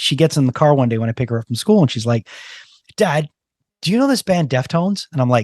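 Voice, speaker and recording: Very fast, somewhat breathy speech with lively intonation and long, frequent pauses, in a dry, close sound with no echo. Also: man. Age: 50s. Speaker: podcast host. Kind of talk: casual interview chat.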